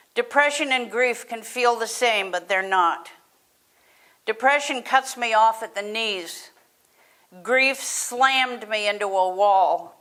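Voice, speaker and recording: The speaker has a bright, sharp tone and ordinary pitch variation, talking at a very slow pace with long, frequent pauses. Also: woman. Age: 60s. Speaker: mental health advocate. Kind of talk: prepared personal speech.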